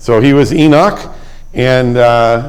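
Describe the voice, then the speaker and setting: Audible room echo surrounds the voice of a man. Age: 70s. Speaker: Bible class teacher. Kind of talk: Bible class lecture. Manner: halting, many fillers.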